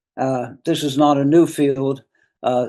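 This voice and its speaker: In an American accent, a man speaks with a dark, mellow tone at a fairly high pitch. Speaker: retired professor. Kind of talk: lecture. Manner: halting.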